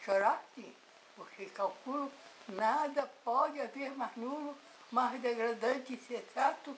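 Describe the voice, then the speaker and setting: A woman at a very slow pace with ordinary pitch variation, noticeable background noise behind her. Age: 80s+. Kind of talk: poetry reading.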